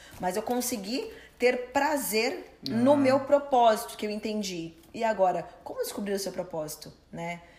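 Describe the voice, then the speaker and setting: Over noticeable background noise, a woman with a fairly high voice talks at a fairly slow pace with lively intonation and hardly any pauses. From Brazil. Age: 30s. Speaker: personal trainer and coach. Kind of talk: interview.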